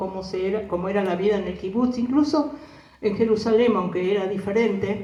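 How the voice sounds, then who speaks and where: A woman speaks with a Rioplatense accent and ordinary pitch variation, with audible room echo and noticeable background noise behind her. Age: 70s. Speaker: war survivor. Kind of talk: testimony. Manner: animated.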